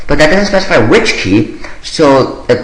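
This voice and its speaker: A man talks at a moderate pace, with audible room echo and noticeable background noise around him. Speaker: programming tutorial maker. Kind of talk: screen-recorded coding tutorial. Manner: hesitant with many fillers.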